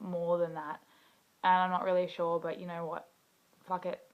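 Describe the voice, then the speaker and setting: A woman with an Australian accent speaks in a fairly low voice. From Western Australia, rural bush. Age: 20s. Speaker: video blogger, activist. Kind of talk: personal introduction monologue. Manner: casual with filler words.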